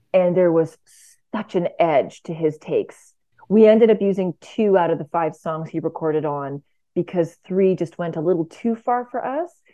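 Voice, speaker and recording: At a moderate pace and medium pitch, a woman talks with a Canadian accent and ordinary pitch variation. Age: 40s. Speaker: jazz singer. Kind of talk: radio interview. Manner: animated.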